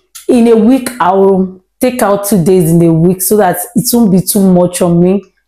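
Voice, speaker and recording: A woman speaks with ordinary pitch variation in a quiet background that has audible room echo. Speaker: home cooking vlogger. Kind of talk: casual vlog chat. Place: kitchen. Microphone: lapel.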